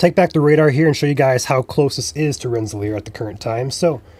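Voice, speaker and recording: Speaking at a very fast pace, a man with a fairly high pitch sounds somewhat breathy and uses ordinary pitch variation. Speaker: weather livestream host. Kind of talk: live weather commentary.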